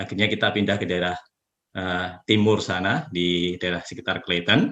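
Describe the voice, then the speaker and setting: A man speaks at a fairly quick pace with a Javanese accent. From Java, Yogyakarta. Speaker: community leader. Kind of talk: interview. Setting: video call.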